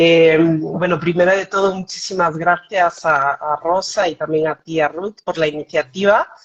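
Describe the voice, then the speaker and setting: A woman speaks at a fairly slow pace with hardly any pauses. Her intonation is monotone and flat. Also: fairly low pitch for a woman. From Switzerland, German-speaking part (Bern), Spanish parents. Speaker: foundation director. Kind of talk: interview on live stream. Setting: video call live stream.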